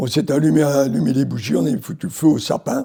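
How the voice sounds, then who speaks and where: A man's dark, mellow voice with vocal fry and lively intonation. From Algeria, Morocco and France. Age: 80s+. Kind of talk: interview answer, personal memories.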